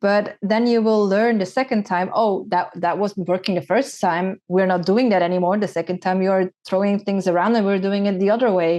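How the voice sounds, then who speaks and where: A woman's medium-pitched voice at a moderate pace, with fairly even intonation and very even loudness. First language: Dutch. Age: 30s. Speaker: former pro cyclist and content creator. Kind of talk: podcast interview.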